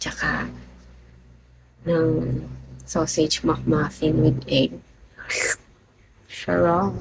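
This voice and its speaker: A woman speaks quietly. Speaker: livestreamer. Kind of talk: live stream chat with viewers. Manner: quiet, low voice.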